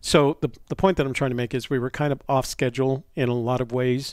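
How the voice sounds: A man speaks at a fast clip in a medium pitch, his tone slightly mellow. His intonation stays fairly even.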